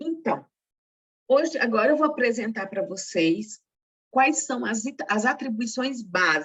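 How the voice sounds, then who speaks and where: Speaking at a fairly slow pace, a woman with a fairly high, somewhat breathy voice lets her pitch swing very widely. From Brazil, northeastern family. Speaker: secretarial workshop instructor and teacher. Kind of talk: workshop lecture.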